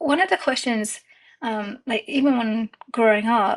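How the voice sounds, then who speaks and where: With an Indian accent, a woman speaks high and fairly slowly with lively intonation on a very clean recording with a silent background. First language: Indian language. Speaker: digital artist and content creator. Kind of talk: casual interview chat. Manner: hesitant, many fillers.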